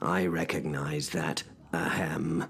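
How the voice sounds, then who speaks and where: A man uses a put-on character voice, very deep, low and raspy, with monotone, flat intonation. Clear background noise sits behind him. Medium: audio drama. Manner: formal, gentlemanly.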